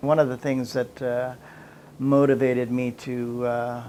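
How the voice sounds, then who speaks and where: A man's medium-pitched voice with a Canadian accent, fairly slow and monotone, with flat intonation. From Canada, Toronto. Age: 60s. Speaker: facilities manager sharing recovery story. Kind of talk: personal testimony. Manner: halting, many fillers and repetitions.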